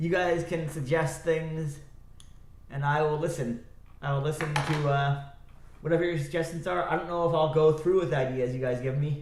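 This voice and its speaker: A man speaks at a moderate pace with a fairly high pitch and fairly even intonation. Room echo is audible, and background noise is noticeable. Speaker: live streamer. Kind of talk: casual live stream chat. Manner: loud; rambling, halting with fillers.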